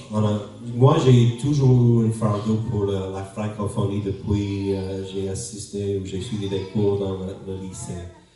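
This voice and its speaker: A man with a fairly low voice speaks at a very slow pace with fairly even intonation. Audible room echo and noticeable background noise fill the recording. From New Brunswick, Canada (anglophone). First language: English (speaking French). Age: 50s. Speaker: pastor. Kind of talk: sermon introduction. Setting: church. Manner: halting.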